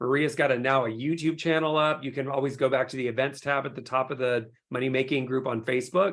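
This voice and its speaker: At a very fast pace with hardly any pauses, a man talks at medium pitch. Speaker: skincare company CEO. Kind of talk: webinar presentation. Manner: animated.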